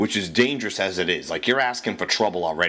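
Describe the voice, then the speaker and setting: A man talks at a very fast pace in an animated tone. He has a Boston accent. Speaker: radio ranter. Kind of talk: casual rant. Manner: profane, animated.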